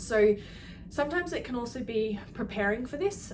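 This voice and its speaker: At a moderate pace, a woman speaks amid audible room echo and noticeable background noise. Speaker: health clinic practitioner. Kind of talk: educational talk to camera.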